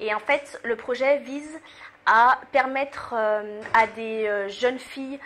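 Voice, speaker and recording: Her high-pitched voice holds fairly even intonation as the woman speaks. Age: 20s. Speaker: student association president. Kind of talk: interview. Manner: hesitant, many fillers.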